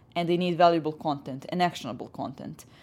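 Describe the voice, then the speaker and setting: A woman with a Serbian accent, fairly low in pitch, at a fairly quick pace with fairly even intonation. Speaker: head of business development. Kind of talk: interview.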